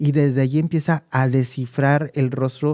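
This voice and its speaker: The man's dark, mellow voice has fairly even intonation, heard with a dry, close sound with no echo on a very clean recording with a silent background. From Mexico City. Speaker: communication coach. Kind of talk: interview answer.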